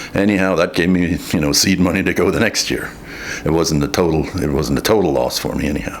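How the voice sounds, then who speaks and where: Over noticeable background noise, a man with an American accent talks at a very fast pace in a very deep, low pitch. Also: ordinary pitch variation. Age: 60s. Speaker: farmer. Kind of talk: interview testimony. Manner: halting.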